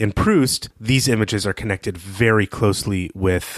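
A man with a plain, everyday voice speaks fairly low at a moderate pace with fairly even intonation, in a very clean, silent recording with a dry, close sound and no echo. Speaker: podcast host. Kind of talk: casual podcast recap.

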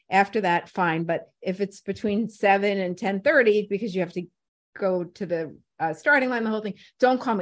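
Over a quiet background, a woman with an American accent and a normal speaking voice talks at a fairly quick pace, at medium pitch with ordinary pitch variation. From New York City (Brooklyn/Staten Island). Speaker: radio personality and program director. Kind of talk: casual interview chat.

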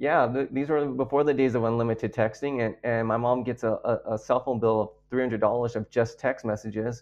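Speaking with hardly any pauses, a man with an unremarkable speaking voice keeps a medium pitch and fairly even intonation. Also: fairly quick pace. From Texas, San Antonio. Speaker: pastor. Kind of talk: testimony.

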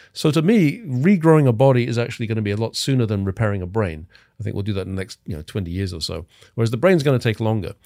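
A man's medium-pitched voice with an English accent, a dark, mellow tone, lively intonation and a very fast pace. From England. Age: 50s. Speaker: cryonics expert. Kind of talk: casual interview.

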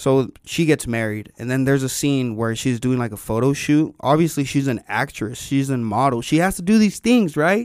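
With hardly any pauses, a man talks at a moderate pace in an ordinary speaking voice, fairly high in pitch with lively intonation. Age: 20s. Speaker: podcast co-host. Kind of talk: casual chat.

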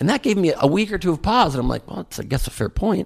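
With an American accent and vocal fry, a man speaks at a fairly quick pace, his pitch swinging very widely. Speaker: comedian and presidential candidate. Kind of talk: interview.

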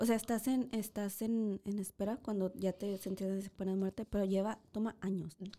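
A woman of medium pitch talks at a moderate pace in a dark, mellow tone with monotone, flat intonation. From northern Mexico. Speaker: true crime podcast co-host. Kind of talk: casual chat.

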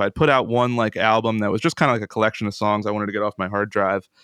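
With an American accent, a man at a medium pitch and fairly even intonation has an ordinary speaking voice, captured in a very clean recording with a silent background and a dry, close sound with no echo. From US, central Pennsylvania. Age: 20s. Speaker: guitarist and composer. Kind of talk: casual chat.

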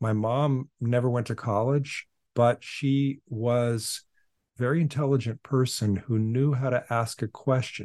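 With a normal speaking voice and an American accent, the speaker talks at a fairly slow pace with fairly even intonation and very even loudness, the sound dry and close with no echo against a quiet background. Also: man, medium pitch for a man. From US Pacific Northwest (Portland, Oregon). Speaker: philosopher and author. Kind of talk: interview.

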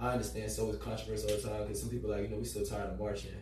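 A man with an American accent and a very deep, low pitch, with audible room echo and noticeable background noise. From Florida, Orlando. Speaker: community activist. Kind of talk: panel discussion.

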